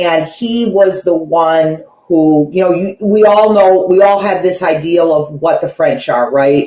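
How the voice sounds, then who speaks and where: The speech moves at a fairly slow pace with hardly any pauses and ordinary pitch variation. Background noise is noticeable. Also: woman, medium pitch for a woman. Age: 60s. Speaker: caller receiving a reading. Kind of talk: casual conversation.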